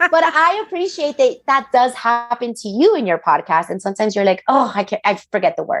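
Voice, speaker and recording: A woman talks at a fairly quick pace with hardly any pauses. Her high pitch moves in very wide swings. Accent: Spanish. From Miami, Florida, Colombian-Panamanian family. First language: Spanish. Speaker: interior designer, business owner. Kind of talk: podcast interview. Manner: animated.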